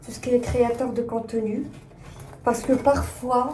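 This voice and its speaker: A woman talks at a fairly slow pace. Room echo is audible around her. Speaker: fashion brand designer, vlogger. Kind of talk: casual vlog chat. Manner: hesitant, many fillers.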